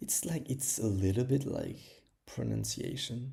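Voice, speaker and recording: Speaking with a French accent, a man at medium pitch has a dark, mellow tone and vocal fry. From France. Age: 20s. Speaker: language learner streamer. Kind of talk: casual livestream chat. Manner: halting, many fillers.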